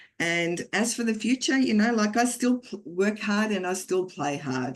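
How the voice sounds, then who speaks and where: Hardly any pauses break up this woman's speech. She has an Australian accent and lively intonation. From Australia (Geelong), Croatian family, came at five. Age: 60s. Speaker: network marketing business leader, former teacher. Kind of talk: motivational talk. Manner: animated.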